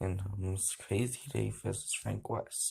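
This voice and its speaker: A man's somewhat breathy voice, dark and mellow in tone, with fairly even intonation. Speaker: reaction video creator. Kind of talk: reading aloud. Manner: halting with gaps and breathers.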